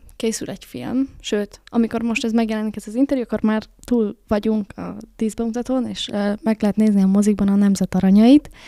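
Over a quiet background, a woman talks at a fairly quick pace with a fairly high pitch, a dark, mellow tone and fairly even intonation, in a dry sound with no echo. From Hungary. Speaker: podcast host. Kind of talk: casual interview chat. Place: studio. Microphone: studio mic.

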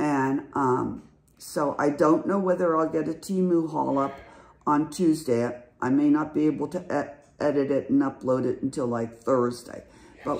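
At a moderate pace, a woman talks with a very deep, low pitch and ordinary pitch variation. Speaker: lifestyle vlogger. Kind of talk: casual vlog chat. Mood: chatty, a bit anxious. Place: home room. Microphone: phone near.

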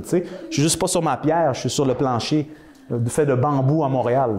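A man with a Quebec accent speaks at a moderate pace. His tone is animated, with light background noise. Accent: Québécois French. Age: 40s. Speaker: wellness speaker; speaker. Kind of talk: talk to an audience. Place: hall. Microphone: camera far.

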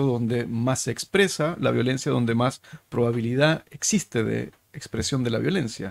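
Over a quiet background, a man speaks. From Chile. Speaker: podcast host, think tank director; podcast host. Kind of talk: interview conversation. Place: studio. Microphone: studio mic.

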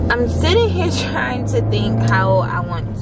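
A woman's voice with music in the background. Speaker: vlogger. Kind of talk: casual vlog chat. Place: car. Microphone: phone near.

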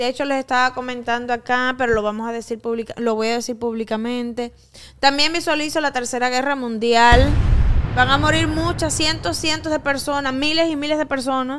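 Over noticeable background noise, a woman talks at a fairly quick pace in a high pitch with ordinary pitch variation. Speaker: psychic and show host. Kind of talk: casual chat. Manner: playful, teasing. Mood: serious, dramatic predictions. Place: studio. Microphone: studio mic.

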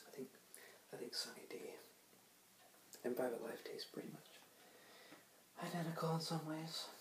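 Soft-spoken delivery at a moderate pace, broken by long, frequent pauses, is heard with light background noise and audible room echo. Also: man. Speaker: ASMR creator. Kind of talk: ASMR soft spoken talk to camera. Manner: soft-spoken, casual, hesitant. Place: home room. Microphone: webcam.

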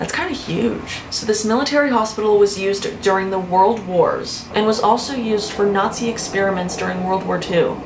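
Over music in the background, a woman speaks at a fairly quick pace with hardly any pauses and ordinary pitch variation. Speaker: youtuber. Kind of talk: casual vlog chat. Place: home room.

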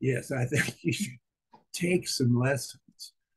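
A man's medium-pitched, somewhat breathy voice shows ordinary pitch variation. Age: 80s+. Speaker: retiree learning to swim. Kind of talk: interview. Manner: halting. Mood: reflective, candid. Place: home room. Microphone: webcam.

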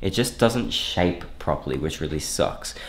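At a fairly slow pace, a man speaks with a very deep, low pitch and ordinary pitch variation. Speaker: fitness vlogger. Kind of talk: casual vlog chat. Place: home room. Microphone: phone near.

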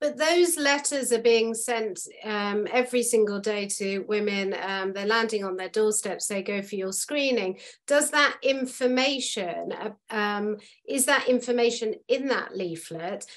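A woman's fairly high voice in a British accent, fairly slow, with ordinary pitch variation and a quiet background. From United Kingdom. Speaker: podcast host. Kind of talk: podcast interview. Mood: earnest, empathetic. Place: home room. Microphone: video call.

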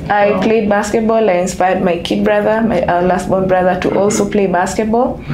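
A woman talks at a fairly quick pace with hardly any pauses. Noticeable background noise runs underneath. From Kenya, Nairobi. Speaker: basketball national team manager. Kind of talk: interview. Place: home room.

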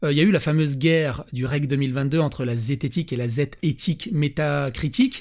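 There is almost no sound behind the speaker. Words come at a fairly quick clip. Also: man. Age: 40s. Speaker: YouTuber and podcast host; YouTuber, podcast host. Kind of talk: casual chat. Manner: animated, variable pace and volume. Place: home room. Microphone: studio mic.

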